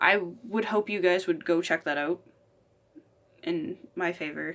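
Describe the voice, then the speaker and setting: A woman talks at a fairly slow pace and fairly low pitch. Her pitch varies in an ordinary way. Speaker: YouTuber, collector and gamer. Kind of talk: casual vlog.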